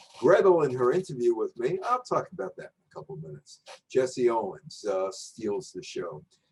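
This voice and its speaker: One man talks at a moderate pace. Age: 60s. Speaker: journalist and sports commentator. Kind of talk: lecture. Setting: virtual presentation.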